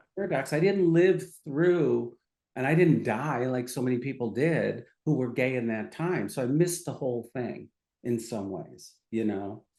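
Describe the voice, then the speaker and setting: In a dark, mellow tone with vocal fry, a man speaks at medium pitch and a moderate pace with lively intonation. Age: 60s. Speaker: psychiatrist. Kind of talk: casual chat.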